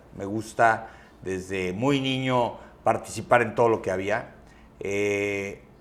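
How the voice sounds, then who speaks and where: At a very slow pace and with fairly even intonation, the speech carries audible room echo. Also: man, fairly low pitch for a man. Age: 40s. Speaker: transport company CEO and podcaster. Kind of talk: interview conversation.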